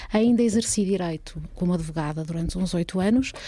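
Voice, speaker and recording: A woman speaks at a moderate pace with a dark, mellow, somewhat breathy tone. Her pitch is fairly low and her intonation fairly even. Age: 40s. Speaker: former party politician and lawyer. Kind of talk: casual interview.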